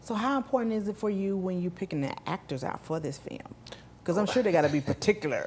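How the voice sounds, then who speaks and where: Speaking at a very fast pace with a strong Southern US accent, a woman with a medium pitch sounds somewhat breathy, her intonation lively. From US South. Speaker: talk show host. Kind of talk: interview.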